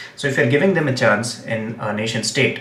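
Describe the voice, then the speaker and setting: Speaking very fast with a Gujarati accent, a man is heard amid audible room echo and noticeable background noise. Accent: Indian English, Gujarati. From India, Gujarat. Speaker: English teacher and political commentator. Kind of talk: live stream commentary. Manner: hesitant, many fillers.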